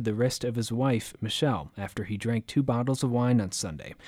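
A man talks in a normal speaking voice at a fairly quick pace with ordinary pitch variation. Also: very clean recording, silent background. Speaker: radio news anchor. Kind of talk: formal newsreading, scripted local radio bulletin. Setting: studio. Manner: formal, measured, even-toned; crisp and businesslike, steady pace.

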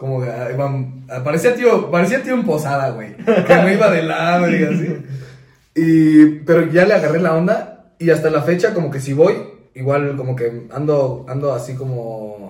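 With a Mexican accent and lively intonation, a man with a fairly high pitch talks at a moderate pace amid audible room echo. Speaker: podcast co-host. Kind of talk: casual chat.

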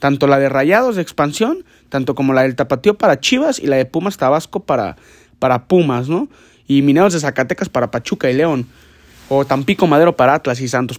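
A man's fairly high voice at a fairly quick pace, with ordinary pitch variation, in a very clean recording with a silent background. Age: 20s. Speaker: football podcast host. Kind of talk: casual sports commentary podcast. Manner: halting, many repetitions and restarts.

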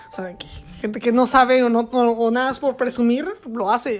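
A woman with a high voice talks at a fairly quick pace while music plays in the background. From Mexico, Querétaro. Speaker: podcaster. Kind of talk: solo monologue podcast. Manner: halting, many fillers and repetitions.

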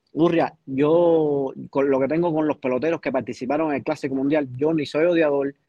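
In a plain, everyday voice, a man speaks fairly quickly at a fairly high pitch with fairly even intonation. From Cuba. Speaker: baseball commentator panelist. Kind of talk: heated debate.

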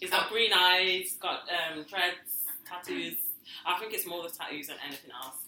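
A woman with a fairly low pitch speaks at a moderate pace with fairly even intonation. Her loudness swings widely, and there is noticeable background noise. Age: 30s. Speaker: podcast co-host. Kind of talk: casual chat.

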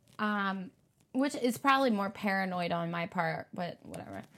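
In a very clean recording with a silent background, a woman uses lively intonation at a moderate pace in an unremarkable speaking voice. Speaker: podcast host. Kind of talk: casual chat.

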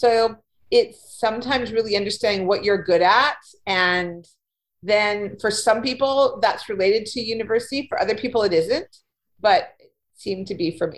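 In an ordinary speaking voice, a woman with a Canadian accent talks at fairly high pitch with ordinary pitch variation. Her loudness shows big swings. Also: moderate pace. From Winnipeg, Manitoba, Canada. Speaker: career coach and freelance writer. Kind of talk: casual interview.

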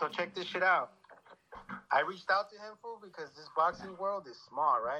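With a bright, sharp tone, a man projects his high-pitched voice at a moderate pace, showing ordinary pitch variation and big swings in loudness. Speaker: caller. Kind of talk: casual chat. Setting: phone call.

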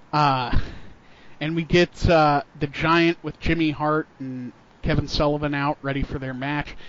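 Fairly slow speech from a man with a fairly high pitch, noticeable background noise behind it. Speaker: wrestling podcast host. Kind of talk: casual podcast chat recapping a wrestling show. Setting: podcast recording. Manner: play-by-play style recap, energetic.

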